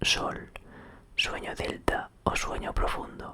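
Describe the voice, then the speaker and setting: At a fairly slow pace, someone whispers, with noticeable noise in the background. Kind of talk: whispered ASMR reading of an encyclopedia article, sleep aid. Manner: whispered.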